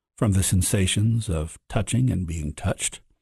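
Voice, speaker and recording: In an American accent, a man speaks at a moderate pace with a dark, mellow, somewhat breathy tone. The sound is dry and close with no echo, over a quiet background. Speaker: author and professor. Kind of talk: reading aloud.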